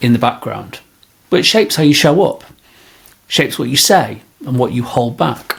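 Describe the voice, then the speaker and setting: A man with a Manchester accent speaks at a medium pitch. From northern England, Greater Manchester. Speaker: podcast host, leadership coach. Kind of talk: podcast monologue.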